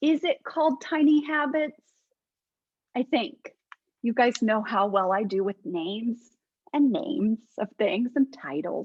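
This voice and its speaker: A woman with a high voice talks at a fairly slow pace, her intonation lively and broken by long, frequent pauses. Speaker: faith-based life coach. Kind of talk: casual teaching talk to online group. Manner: animated.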